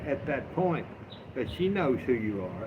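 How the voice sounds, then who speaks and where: Through audible room echo, a man speaks at a fairly slow pace with a Southern US accent. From US South. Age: 60s. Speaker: livestreamer. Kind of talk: casual livestream chat. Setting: outdoors on front porch. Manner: animated.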